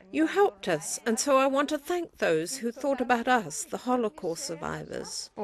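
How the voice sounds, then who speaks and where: Her pitch high and swinging very widely, a woman speaks at a moderate pace with hardly any pauses over noticeable background noise. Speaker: Holocaust survivor. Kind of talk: testimony.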